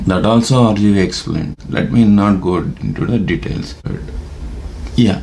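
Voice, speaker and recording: In a room with audible echo and noticeable background noise, a man speaks with a very deep, low pitch and ordinary pitch variation. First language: Telugu. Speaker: YouTuber. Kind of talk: casual monologue. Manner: halting, many fillers.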